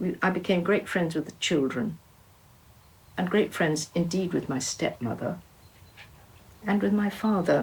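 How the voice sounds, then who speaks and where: At a fairly slow pace with long, frequent pauses, a woman speaks at a fairly low pitch with vocal fry and ordinary pitch variation. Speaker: artist and retired teacher. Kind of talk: interview reminiscence. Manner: halting.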